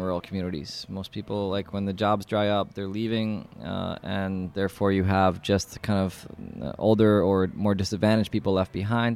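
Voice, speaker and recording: Here is a man with a New York accent. His pitch is fairly low and his intonation fairly even. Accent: New York American. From New York City. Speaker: landscape architect and nonprofit founder. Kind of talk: interview monologue. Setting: community space. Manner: casual with frequent fillers.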